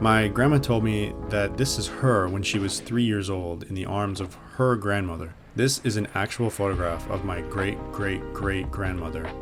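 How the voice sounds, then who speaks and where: Music plays behind a man whose fairly low voice shows ordinary pitch variation. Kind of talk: video essay narration.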